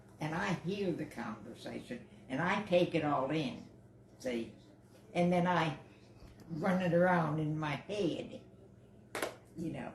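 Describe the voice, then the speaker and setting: With audible room echo and noticeable background noise, a woman with a very deep, low voice speaks at a fairly slow pace, using lively intonation and long, frequent pauses. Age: 80s+. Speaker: guest's mother. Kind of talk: family advice on live stream.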